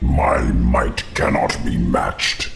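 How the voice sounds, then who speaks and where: A man growls in a put-on character voice with a very deep, low pitch. Background noise is clear. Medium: cartoon. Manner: menacing, grave.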